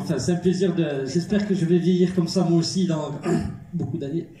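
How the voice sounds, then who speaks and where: Noticeable background noise and audible room echo surround a man speaking at a high pitch with fairly even intonation. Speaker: actor and filmmaker. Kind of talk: film premiere Q&A.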